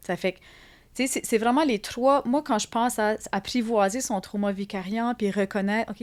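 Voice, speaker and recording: Here a woman speaks at a fairly high pitch and a moderate pace. Her pitch variation is ordinary, on a very clean recording with a silent background. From Acadia (Atlantic Canada). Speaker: psychologist and art therapist. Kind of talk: interview conversation. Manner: hesitant, many fillers and repetitions.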